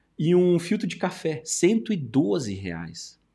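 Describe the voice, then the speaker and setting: The background stays quiet. A man's tone comes across dark and mellow. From Brazil, São Paulo interior. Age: 40s. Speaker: YouTuber and study-abroad agency owner; YouTuber. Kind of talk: casual commentary video. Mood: calm, reflective. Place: studio.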